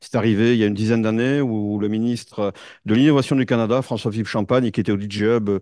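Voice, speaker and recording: A man speaks at a very fast pace in a medium pitch. His tone is dark and mellow, with fairly even intonation. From France. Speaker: tech executive and conference speaker. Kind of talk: conference talk. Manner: halting, many fillers.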